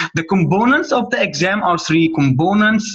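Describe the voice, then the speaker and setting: There is noticeable background noise here. Through it, a man talks at a moderate speed. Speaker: medical tutor. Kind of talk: tutorial. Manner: halting, with repetitions and fillers.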